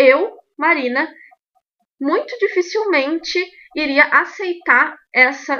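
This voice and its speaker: A woman's high, raised and projected voice, bright and sharp in tone, with lively intonation at a very slow pace. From Rio Grande do Sul, Brazil. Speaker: belly dance teacher and podcast host. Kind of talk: podcast monologue, opinion commentary.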